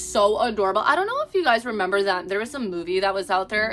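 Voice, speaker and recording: With music in the background, a woman speaks at a very fast pace in an animated tone. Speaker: book content creator. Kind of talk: casual vlog talk.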